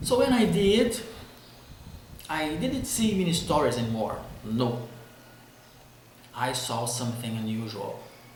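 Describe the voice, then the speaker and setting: A man with a Brazilian accent, fairly high in pitch with very wide pitch swings, at a fairly slow pace with long, frequent pauses amid noticeable background noise. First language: Portuguese. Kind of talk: casual talk to camera.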